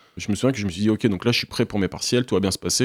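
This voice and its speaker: The recording is very clean with a silent background and a dry, close sound with no echo. A man speaks at a very fast pace. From Normandy, France (Caen). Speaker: history graduate student. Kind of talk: interview. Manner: hesitant, with many fillers.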